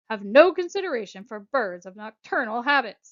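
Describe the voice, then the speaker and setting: Using a put-on character voice, a woman speaks at a moderate pace in a fairly high pitch with a stern tone. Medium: read story. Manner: stern, snappish.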